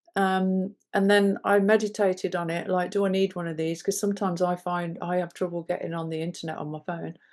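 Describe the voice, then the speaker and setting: A woman with an English accent, medium pitch and flat monotone intonation, at a fairly quick pace with hardly any pauses. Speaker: podcast co-host. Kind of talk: casual chat.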